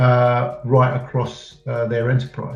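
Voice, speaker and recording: With an English accent, a man speaks at a fairly slow pace. Music plays in the background, and there is audible room echo. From England. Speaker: head of a data consultancy business unit. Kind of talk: interview. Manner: halting, many fillers.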